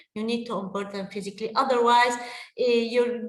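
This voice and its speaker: Audible room echo surrounds a woman whose pitch is fairly high. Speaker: workplace expert. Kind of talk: panel discussion. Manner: passionate.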